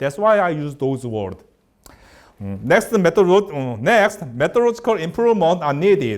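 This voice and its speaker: Delivered at a moderate pace, the speech carries a Korean accent and very wide pitch swings. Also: man, high pitch for a man. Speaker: researcher giving a lecture. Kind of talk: lecture. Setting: lecture hall. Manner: halting.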